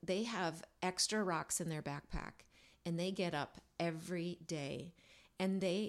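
On a very clean recording with a silent background, a normal speaking voice moves at a fairly slow pace. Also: woman. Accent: American. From USA. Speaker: singer-songwriter. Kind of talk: casual chat.

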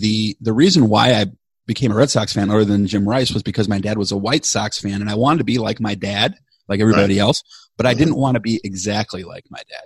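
A man with an American accent talks at a very fast pace in a fairly low pitch, somewhat breathy, with ordinary pitch variation. The sound is dry and close, with no echo. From Chicago, US Midwest. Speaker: podcast co-host and producer. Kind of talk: casual interview chat.

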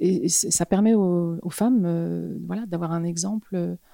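A woman's dark, mellow tone comes through a dry, close sound with no echo. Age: 50s. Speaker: fashion model. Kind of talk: interview. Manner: halting.

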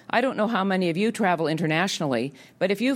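A woman with a Canadian accent and a normal speaking voice, fairly low-pitched, fairly quick, with lively intonation. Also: very clean recording, silent background. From Canada. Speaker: health policy think tank head. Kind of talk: public policy talk. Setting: auditorium with audience.

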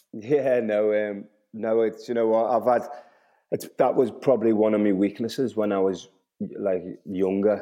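A man's fairly low voice at a moderate pace, with long, frequent pauses and fairly even intonation. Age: 30s. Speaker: professional footballer. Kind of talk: casual chat.

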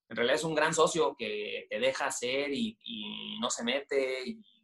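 A man talks with a northern Mexican accent. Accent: northern Mexican (Monterrey). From northern Mexico, Monterrey. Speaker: media company director. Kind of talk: interview. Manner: halting, many repeated words.

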